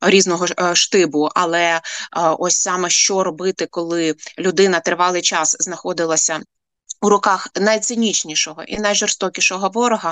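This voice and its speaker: With an ordinary speaking voice, a woman with a medium pitch talks at a moderate pace with fairly even intonation, the sound dry and close with no echo. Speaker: head of a nonprofit for families of prisoners of war. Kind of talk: radio interview.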